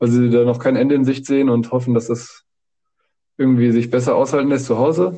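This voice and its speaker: Medium in pitch, a man's dark, mellow voice holds a monotone, flat intonation. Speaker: exchange student. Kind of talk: casual chat.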